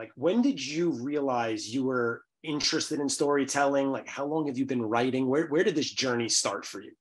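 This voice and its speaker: A man speaks with a New York accent at a moderate pace. His pitch is fairly high, with ordinary variation. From New York City, Bronx. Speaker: podcast host. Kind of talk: interview podcast.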